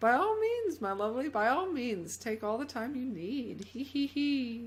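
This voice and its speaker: Someone cackles in a put-on character voice at a fairly high pitch. The pace is moderate, with light background noise. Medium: game stream. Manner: cackling, honeyed.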